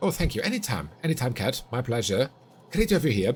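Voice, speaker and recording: A man talks in a somewhat breathy voice with very wide pitch swings. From Finland. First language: Finnish. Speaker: streamer. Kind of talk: live gaming stream chat. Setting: home streaming corner.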